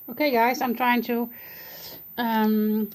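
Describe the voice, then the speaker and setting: Speaking at a moderate pace, a woman talks with a Dutch accent. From Netherlands. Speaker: art journaling hobbyist. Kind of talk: casual video walkthrough. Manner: hesitant, many fillers.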